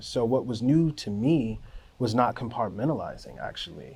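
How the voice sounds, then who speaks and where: A man with an American accent speaks at medium pitch. He goes at a fairly slow pace, with ordinary pitch variation. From US, Miami, Florida. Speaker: music producer. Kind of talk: documentary interview. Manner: casual, filler-heavy.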